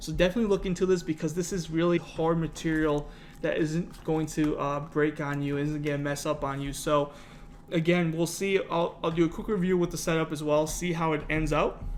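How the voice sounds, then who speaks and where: A man talks at a fairly quick pace and a fairly high pitch. His intonation is monotone and flat. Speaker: YouTube content creator. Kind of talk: unboxing tutorial. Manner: fast; casual, filler-heavy.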